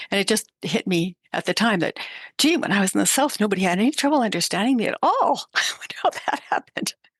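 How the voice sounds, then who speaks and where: With an ordinary speaking voice, a woman with a Canadian accent talks at a fairly quick pace and medium pitch with lively intonation, in a dry, close sound with no echo over a quiet background. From Canada. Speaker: podcast host. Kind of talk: casual interview chat.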